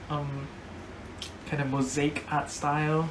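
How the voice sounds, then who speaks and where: A woman takes a fairly slow pace, with noticeable background noise around her. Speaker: tarot deck reviewer. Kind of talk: casual talk to camera. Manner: hesitant, rambling with fillers.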